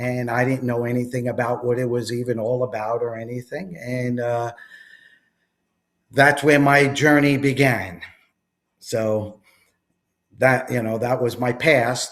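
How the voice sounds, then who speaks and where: In a Long Island accent, a man talks fairly slowly at medium pitch, with fairly even intonation and long, frequent pauses. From New York, Long Island and Jersey Shore. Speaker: entrepreneur, network marketer. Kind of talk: interview.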